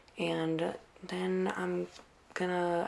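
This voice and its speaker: A woman's very deep, low voice with very wide pitch swings, amid noticeable background noise. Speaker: lifestyle vlogger. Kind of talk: voiceover narration. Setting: home, recorded right before bed. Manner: casual, chatty.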